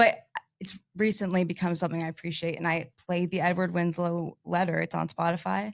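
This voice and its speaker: A woman's fairly low, animated voice with vocal fry, an American accent and a fairly quick pace. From Kansas. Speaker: sales executive. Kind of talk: podcast interview. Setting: studio.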